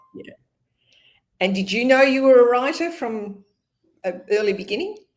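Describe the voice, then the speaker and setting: In an Australian accent, a woman with a high pitch talks at a moderate pace, her intonation lively and her loudness swinging widely. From Australia (Sydney), southern Italian migrant family. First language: Italian. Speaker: author and editor. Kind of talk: interview.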